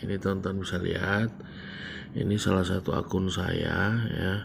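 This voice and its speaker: A quiet man's voice, monotone and flat in intonation. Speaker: trading YouTuber. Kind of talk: screen-share tutorial. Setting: home recording late at night. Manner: quiet, low volume; casual, hesitant with fillers.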